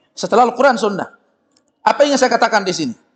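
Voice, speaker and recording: A man speaks loudly at a very fast pace. His tone is animated. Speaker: Islamic preacher. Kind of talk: sermon. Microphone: loud microphone, briefly cutting out.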